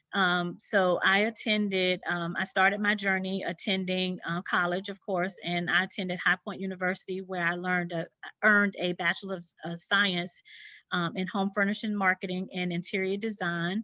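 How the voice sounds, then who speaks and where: Speaking with a Southern US accent, a woman uses a bright, sharp tone at a medium pitch with monotone, flat intonation. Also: moderate pace. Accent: Southern twang. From US South, Sumter, South Carolina. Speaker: interior designer. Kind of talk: presentation. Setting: video presentation from her studio. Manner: many fillers, halting.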